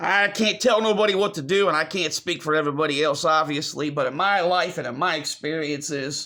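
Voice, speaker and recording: Speaking at a fairly quick pace with hardly any pauses, a man has a bright, sharp tone, a fairly high pitch and ordinary pitch variation. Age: 30s. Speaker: video blogger. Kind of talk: personal vlog monologue. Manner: repetitive, halting.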